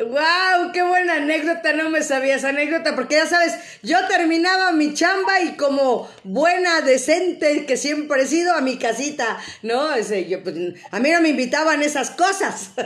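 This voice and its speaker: With lively intonation and a high pitch, a woman talks at a moderate pace amid noticeable background noise and audible room echo. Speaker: radio host. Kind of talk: live-streamed radio interview. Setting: online video stream.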